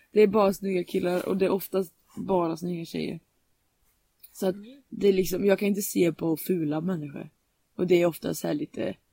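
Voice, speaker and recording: Speaking at a fairly quick pace broken by long, frequent pauses, a woman has a fairly low pitch, a dark, mellow tone and ordinary pitch variation, with a dry, close sound and no echo. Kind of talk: casual chat.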